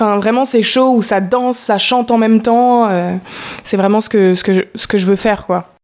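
A woman's plain, everyday voice, fairly high in pitch, at a moderate pace with fairly even intonation. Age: young. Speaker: musical theatre student. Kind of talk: interview.

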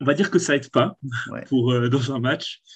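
Somewhat breathy male voice, its pitch varying in an ordinary way. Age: 20s. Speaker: sports fan guest. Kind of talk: casual chat.

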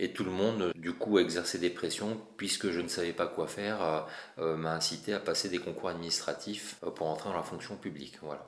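Keeping a moderate pace, a man speaks at a very deep, low pitch with fairly even intonation. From France, Paris region (Essonne). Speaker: mosaic artist. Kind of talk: interview.

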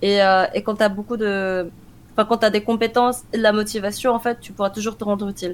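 A woman's monotone, flat delivery at a fairly quick pace, with big swings in loudness. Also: fairly high pitch for a woman. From France, Korean-born. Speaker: esports team manager and analyst. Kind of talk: interview.

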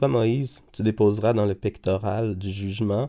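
Very slowly, a man speaks with a dark, mellow tone. His pitch is fairly low and his intonation fairly even. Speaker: Bible reader. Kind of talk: reading aloud. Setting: studio.

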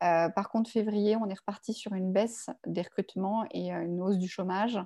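Dark and mellow in tone, a woman's medium-pitched voice holds fairly even intonation. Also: quiet background. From Paris suburbs, France. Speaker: legal recruitment firm founder, former lawyer. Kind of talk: interview. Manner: halting, many fillers and repetitions.

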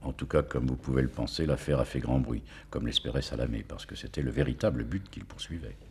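Speaking at a very fast pace, a man uses a very deep, low voice with vocal fry and ordinary pitch variation. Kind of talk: true-crime narration, gripping storytelling of a assassination. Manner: measured, suspenseful, building tension with short clipped sentences.

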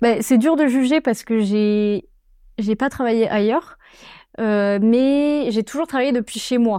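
A woman with a fairly high voice speaks at a very slow pace, with long, frequent pauses, ordinary pitch variation and very even loudness. The recording is very clean with a silent background, and the sound is dry and close with no echo. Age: 20s. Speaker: storyboard artist. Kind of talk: casual interview. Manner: hesitant, many fillers.

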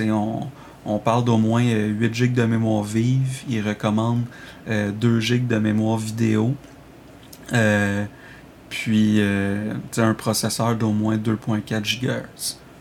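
The voice is very slow, with long, frequent pauses and monotone, flat intonation. Loudness is very even, and noticeable background noise is present. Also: man, medium pitch for a man. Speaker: video game reviewer. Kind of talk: recorded review reading.

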